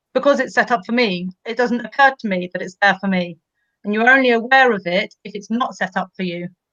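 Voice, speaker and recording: The voice is bright and sharp, fairly quick, with a dry, close sound and no echo. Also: woman. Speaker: teacher. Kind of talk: educational discussion.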